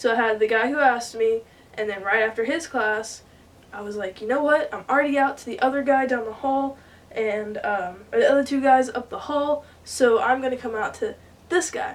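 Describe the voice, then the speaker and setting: Through noticeable background noise, a woman with an American accent speaks at a moderate pace in a high pitch with ordinary pitch variation. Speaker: vlogger. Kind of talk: casual chat. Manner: rambling, hesitant with many fillers.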